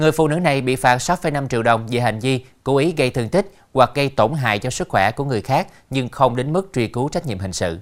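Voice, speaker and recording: At a fairly quick pace, a man with an unremarkable speaking voice talks at medium pitch with lively intonation, on a very clean recording with a silent background. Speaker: TV news anchor. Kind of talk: news reading. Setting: studio. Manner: formal.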